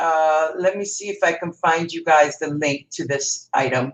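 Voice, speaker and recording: A woman speaks at a moderate pace with a strong Canadian accent. Her pitch is fairly low and her intonation fairly even. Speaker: crafter, live stream host. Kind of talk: live craft tutorial. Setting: live stream.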